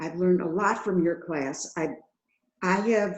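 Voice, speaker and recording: This is a woman speaking. Her pitch is medium. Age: 80s+. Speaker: webinar participant. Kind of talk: personal testimony. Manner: halting.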